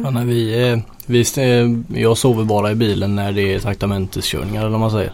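Against noticeable background noise, a man with a fairly low pitch speaks at a fairly quick pace with fairly even intonation. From Gothenburg northern archipelago, Sweden. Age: 20s. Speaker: truck driver. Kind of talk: casual interview.

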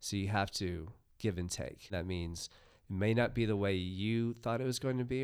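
On a very clean recording with a silent background, a man with an American accent speaks at a fairly low pitch and a moderate pace, with ordinary pitch variation. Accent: American, noticeable to Australians. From United States. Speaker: comics creator and festival organiser. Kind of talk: casual interview chat.

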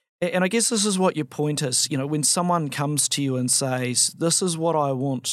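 A man with a normal speaking voice talks at a moderate pace with ordinary pitch variation. The recording is very clean, with a silent background. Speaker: barrister podcast host. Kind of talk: interview conversation.

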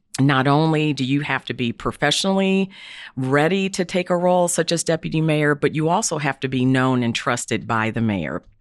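A woman talks at a moderate pace with lively intonation, in dry, close sound with no echo and a quiet background. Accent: American. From Indianapolis, Indiana. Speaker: diversity and inclusion executive. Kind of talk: interview.

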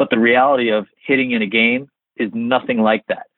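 An unremarkable speaking voice, this man has an American accent and medium pitch. His intonation is fairly even. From New Jersey. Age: 40s. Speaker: baseball coach. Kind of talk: interview.

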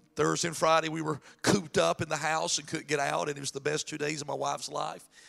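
A man talks at a very fast pace in a fairly high voice with vocal fry. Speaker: pastor. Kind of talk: sermon. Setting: church. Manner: animated.

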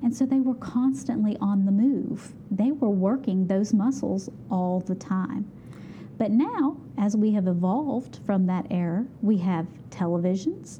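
A woman with an Appalachian accent speaks at a fairly slow pace with lively intonation and very even loudness, against noticeable background noise. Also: medium pitch for a woman. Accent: Appalachian American. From West Virginia, Beckley. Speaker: exercise physiologist. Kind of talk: interview.

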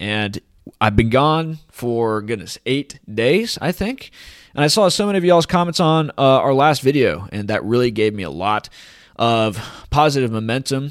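Here is a man with an ordinary speaking voice at a medium pitch, using lively intonation. He keeps a moderate pace on a very clean recording with a silent background. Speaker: crypto commentator. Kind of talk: casual monologue. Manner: casual, jokey.

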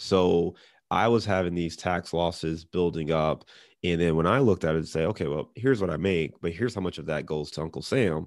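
A man with a Midwestern American accent and a very deep, low voice talks at a fairly quick pace with ordinary pitch variation against a quiet background. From US Midwest, Cleveland, Ohio. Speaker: real estate investor. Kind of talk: interview. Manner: casual.

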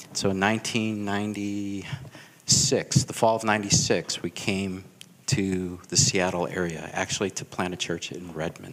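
This man's voice sits fairly low. He talks at a very slow pace. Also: ordinary pitch variation. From US Midwest, Chicago. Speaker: pastor. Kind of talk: testimony.

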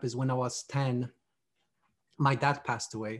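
Somewhat breathy speech with fairly even intonation. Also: man. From Poland. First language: Polish. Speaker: army veteran and men's ministry author. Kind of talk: interview, faith testimony. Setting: video call.

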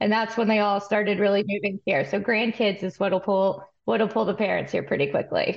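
A woman with an ordinary speaking voice, medium pitch, very even loudness, fairly even intonation, a fairly quick pace and hardly any pauses. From West Texas (Amarillo). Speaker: forage research analyst and horse farm owner. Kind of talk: interview podcast.

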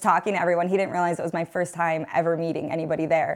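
A woman speaks in an animated, upbeat tone on a very clean recording with a silent background. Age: 20s. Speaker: photographer and mother. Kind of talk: casual chat.

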